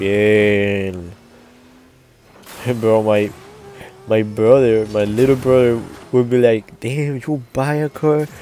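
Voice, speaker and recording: A man with a non-native accent, medium pitch and ordinary pitch variation, at a very slow pace with long, frequent pauses, over music in the background. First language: Spanish. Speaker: gaming youtuber. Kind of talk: gameplay commentary. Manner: halting.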